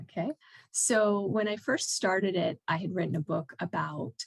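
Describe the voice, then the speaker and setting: The sound is dry and close, with no echo. A woman with a fairly low voice and vocal fry talks at a fairly slow pace with lively intonation. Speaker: painter and podcast host. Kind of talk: casual interview chat.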